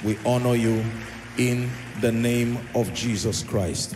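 Faint music sits in the background. A man talks over it. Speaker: church minister. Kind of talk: sermon. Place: hall. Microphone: handheld.

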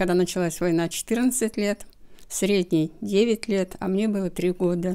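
A woman speaks at a moderate pace with a dark, mellow tone and fairly even intonation. The background is quiet. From Russia, near the Belarus border. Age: 80s+. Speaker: grandmother recalling WWII childhood; interviewee. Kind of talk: oral history interview. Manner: halting. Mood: reflective, recalling wartime childhood. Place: home room. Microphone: handheld.

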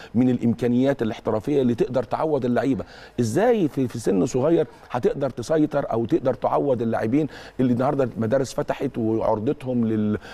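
A man talks at a fairly quick pace. His medium-pitched voice has ordinary pitch variation. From Egypt. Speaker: football academy director and university professor; university professor. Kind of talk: TV interview. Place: studio.

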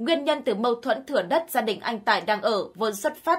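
A woman with a normal speaking voice, fairly high in pitch, with lively intonation at a moderate pace. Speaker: news narrator. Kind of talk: news reading. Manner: formal.

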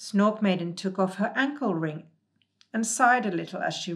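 Quiet background behind a natural reading voice

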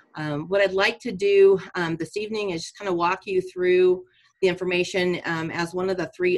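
A woman with an unremarkable speaking voice, fairly low in pitch, at a moderate pace with fairly even intonation and a quiet background. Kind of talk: formal presentation to council. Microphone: video call.

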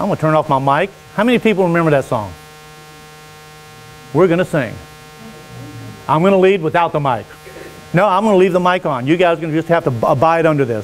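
A high-pitched man at a very fast pace, with ordinary pitch variation and light background noise. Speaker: preacher. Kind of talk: sermon. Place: church. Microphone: lapel.

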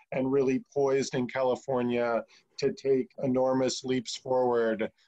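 In a dark, mellow tone with very even loudness and fairly even intonation, a man talks at a fairly slow pace against a quiet background. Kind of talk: opening remarks at a meeting. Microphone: video call.

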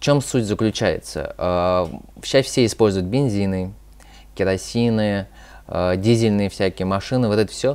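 Long, frequent pauses break up this moderately paced speech, which has big swings in loudness. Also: man, fairly low pitch for a man, ordinary pitch variation. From Moscow, Russia; Russia. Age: 20s. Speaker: youth activist; guest. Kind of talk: interview. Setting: studio. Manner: halting, many fillers. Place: studio.

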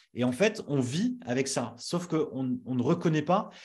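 This man's fairly high, somewhat breathy voice has a dark, mellow tone and very wide pitch swings against a quiet background. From northern France (Nord-Pas-de-Calais). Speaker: brand strategist and agency founder; interviewee, brand coach. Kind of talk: interview. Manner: hesitant, many fillers. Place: home room. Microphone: studio mic.

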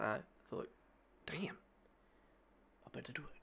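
The speech comes at a very fast pace with an Australian accent. Its tone is upbeat. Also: man. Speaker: sports reaction youtuber. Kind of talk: casual reaction video talk to camera. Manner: upbeat, casual. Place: home room. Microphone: studio mic.

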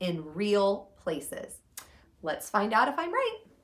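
At a fairly slow pace, a woman is talking. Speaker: teacher. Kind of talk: storytime lesson for children. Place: home room. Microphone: camera far.

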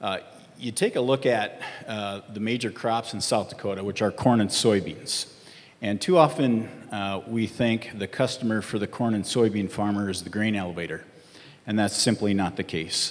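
At a moderate pace, a man uses a normal speaking voice of fairly low pitch with ordinary pitch variation. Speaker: panelist. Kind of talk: panel answer. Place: stage. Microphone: handheld.

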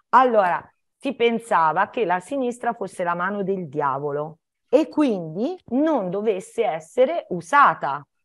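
A woman talks fairly slowly in a quiet setting, her pitch swinging very widely. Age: 60s. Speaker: primary school teacher; primary school teacher, guest. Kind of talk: educational Q&A talk for children. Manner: halting, with many fillers and restarts. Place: home room. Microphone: video call.

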